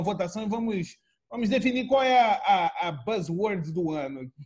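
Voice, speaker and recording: A man talks in a high pitch at a fairly slow pace. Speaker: podcast host. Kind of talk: casual chat.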